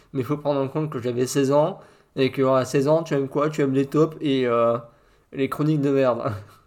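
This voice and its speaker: A man with an unremarkable speaking voice talks at a moderate pace, pitched fairly high, with fairly even intonation. The recording is very clean, with a silent background. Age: 40s. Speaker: podcast host. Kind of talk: casual chat.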